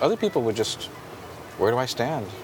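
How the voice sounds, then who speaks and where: Against noticeable background noise, a man speaks at a medium pitch. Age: 50s. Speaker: podcast host and skateboarding photographer. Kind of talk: casual chat. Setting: in-person conversation.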